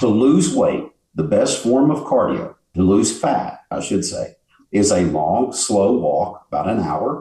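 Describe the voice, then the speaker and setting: A man's fairly low, somewhat breathy voice with a dark, mellow tone at a fairly slow pace. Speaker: bodybuilder and fitness expert. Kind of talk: casual interview.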